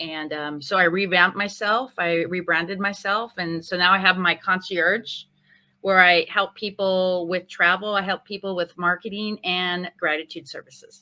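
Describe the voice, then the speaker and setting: Fairly low in pitch, a woman with an American accent speaks in a bright, sharp tone and fairly even intonation. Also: very clean recording, silent background. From Northern California. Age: 50s. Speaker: chef turned concierge business owner. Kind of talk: interview.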